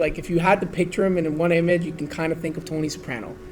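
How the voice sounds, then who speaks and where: Through noticeable background noise, a man speaks at a high pitch. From Vaughan, Ontario, Canada. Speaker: real estate agent, podcast guest. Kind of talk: casual conversation about a video game.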